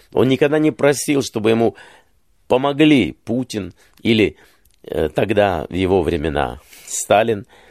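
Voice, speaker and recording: Medium in pitch and showing vocal fry, a man speaks at a fairly slow pace with very wide pitch swings. Long, frequent pauses break up his speech, and the sound is dry and close with no echo. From Ukraine, Kyiv. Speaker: journalist and political commentator. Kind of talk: interview.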